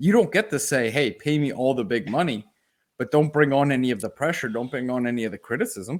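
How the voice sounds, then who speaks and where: Speaking very fast with a non-native accent, a man uses an animated tone, lively intonation and a medium pitch on a very clean recording with a silent background. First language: not English. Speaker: sports podcast co-host. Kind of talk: casual chat.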